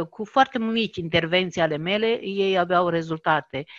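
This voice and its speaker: A woman of medium pitch talks with lively intonation, the sound dry and close with no echo over a quiet background. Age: 50s. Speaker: network marketing coach. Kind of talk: interview testimony. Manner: halting.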